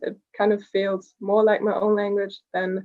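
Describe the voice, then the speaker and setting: Speaking at a fairly slow pace, a woman has a slight German accent. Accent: very slight German. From Germany. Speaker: short story writer, contest winner. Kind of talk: interview.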